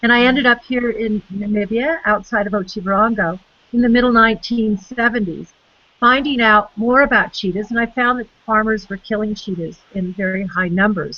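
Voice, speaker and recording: A woman speaks in an ordinary speaking voice at a fairly high pitch. Her pace is moderate, with ordinary pitch variation. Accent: American. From United States. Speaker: conservation biologist. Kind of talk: interview.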